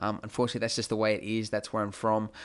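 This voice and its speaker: The setting is quiet behind him. This man talks with an Australian accent. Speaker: 3D graphics tutorial creator. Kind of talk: tutorial. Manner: casual, many filler words.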